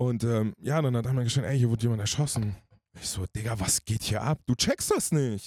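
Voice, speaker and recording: A man's somewhat breathy voice at medium pitch, animated in tone, with ordinary pitch variation, a moderate pace, and a dry, close sound with no echo. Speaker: singer. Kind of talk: casual chat.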